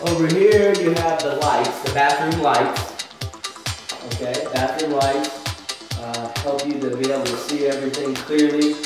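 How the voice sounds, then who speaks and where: Clear music plays behind a man who speaks at a fairly slow pace with ordinary pitch variation. Strong room echo fills the recording. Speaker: English teacher. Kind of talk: tutorial. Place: bathroom. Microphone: camera far.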